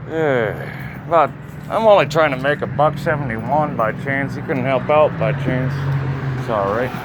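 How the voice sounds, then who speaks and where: Amid noticeable background noise and audible room echo, a man with a fairly high pitch speaks at a fairly slow pace with ordinary pitch variation. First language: not English. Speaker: street busker and YouTuber. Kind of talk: casual chat.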